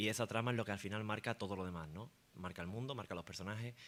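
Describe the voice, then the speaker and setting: The man rattles along very fast in a fairly low voice whose pitch varies in an ordinary way. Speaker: fantasy author on a panel. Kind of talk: panel discussion. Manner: hesitant, with fillers.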